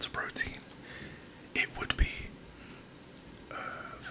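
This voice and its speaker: A man whispering over noticeable background noise. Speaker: personal trainer. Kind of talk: ASMR personal attention. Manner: soft-spoken; encouraging.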